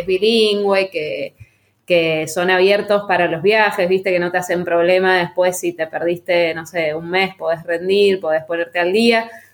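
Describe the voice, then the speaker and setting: At a moderate pace, a woman speaks with a medium-pitched voice. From Argentina, Mendoza. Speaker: winemaker and agronomist. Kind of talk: interview.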